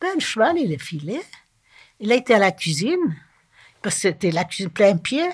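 A woman talks at a moderate pace and medium pitch, somewhat breathy, with long, frequent pauses. Her pitch swings very widely. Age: 80s+. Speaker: retirement home resident. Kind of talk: personal life story interview.

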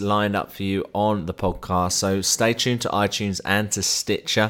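Speaking with a southern English accent, the voice moves at a moderate pace. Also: man. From southern England. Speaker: podcast host. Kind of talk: interview.

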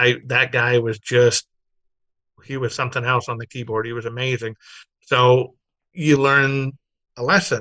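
In an American accent, a man talks at medium pitch with a bright, sharp tone and a fairly slow pace. He takes long, frequent pauses against a quiet background. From Southern California, Glendale. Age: 40s. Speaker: automotive magazine publisher. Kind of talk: casual interview chat. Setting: video call.

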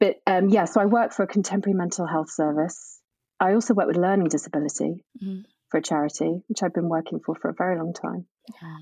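A woman with a dark, mellow tone and vocal fry talks at a very fast pace, her pitch fairly low with ordinary variation. The recording is very clean, with a silent background. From northern England, Scunthorpe, North Lincolnshire. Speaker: grief and drama therapist. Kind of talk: casual interview chat.

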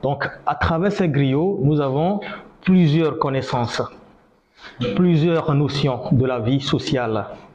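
Over noticeable background noise, a man speaks at a very slow pace with a fairly high pitch. Audible room echo surrounds his voice. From northern Benin. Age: 30s. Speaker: griot musician. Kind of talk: lecture.

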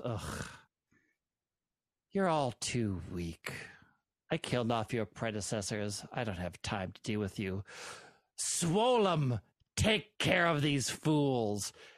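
Cackling in a put-on character voice, the speaker moves at a fairly slow pace with very wide pitch swings and long, frequent pauses. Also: man, medium pitch for a man. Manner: cackling, contemptuous.

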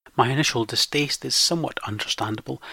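In a very clean recording with a silent background, a man with a west coast Scottish accent talks at a moderate pace in a medium pitch with ordinary pitch variation and a bright, sharp tone. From western Scotland. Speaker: podcast host. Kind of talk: scripted monologue.

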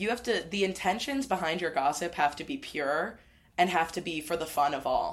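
An American-accented woman talks in an ordinary speaking voice, fairly low in pitch, at a moderate pace with lively intonation. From US Midwest. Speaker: comedian. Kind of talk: comedic improv chat.

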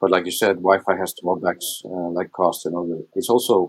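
In an Icelandic accent, a man talks at a fairly quick pace. His pitch is very deep and low. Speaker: smart home product manager. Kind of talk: panel interview.

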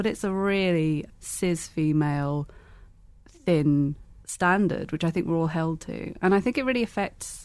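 A woman's fairly low voice in a British accent, with fairly even intonation at a moderate pace, against a quiet background. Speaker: blogger. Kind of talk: casual chat.

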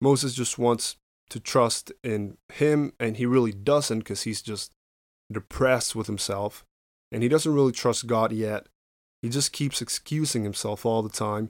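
Speaking at a fairly slow pace with fairly even intonation, a man with a Spanish accent has a medium pitch and a dry, close sound with no echo, on a very clean recording with a silent background. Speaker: podcast host. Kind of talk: Bible teaching monologue. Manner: halting.

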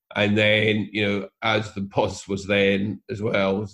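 In a quiet background, a man with a Scottish accent talks in a flat monotone at a fairly low pitch. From Scotland. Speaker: property investor. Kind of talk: interview. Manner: hesitant, many fillers and repeated words.

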